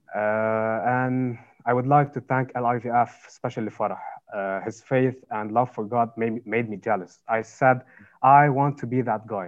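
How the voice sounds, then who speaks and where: A man with a Lebanese accent talks at a fairly slow pace and a medium pitch. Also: fairly even intonation. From Lebanon. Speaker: university student. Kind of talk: interview, personal testimony. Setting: video call.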